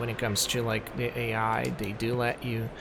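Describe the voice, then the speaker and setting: Audible room echo and noticeable background noise accompany a man speaking at a fairly slow pace. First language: not English. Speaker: gaming youtuber. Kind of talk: gameplay commentary review. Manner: halting, many fillers; casual.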